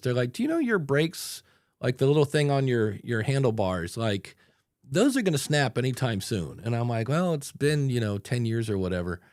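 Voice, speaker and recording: On a very clean recording with a silent background, a man in a normal speaking voice talks at a medium pitch and a fairly quick pace. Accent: American. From Ohio, US. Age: 60s. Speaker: podcast coach. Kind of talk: casual chat.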